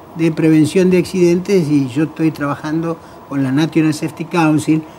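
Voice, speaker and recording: Noticeable background noise sits under a man's fairly high voice. He speaks at a moderate pace with fairly even intonation. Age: 60s. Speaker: road safety NGO president. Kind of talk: TV talk show panel discussion.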